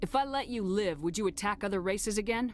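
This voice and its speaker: A woman growls through a put-on character voice at a medium pitch. She talks at a very fast pace over clear background noise. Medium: video game.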